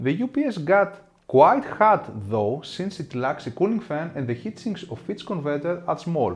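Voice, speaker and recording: A somewhat breathy man's voice at a moderate pace, with very wide pitch swings and light background noise. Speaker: tech reviewer. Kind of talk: product review commentary. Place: home room.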